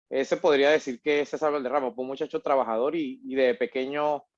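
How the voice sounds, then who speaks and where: Here a man speaks at a fairly quick pace with fairly high pitch and ordinary pitch variation. The sound is dry and close with no echo, over a quiet background. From Venezuela, Portuguesa state (Acarigua/Araure). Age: 30s. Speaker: migrant entrepreneur. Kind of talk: interview. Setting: recorded conversation. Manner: hesitant, many fillers.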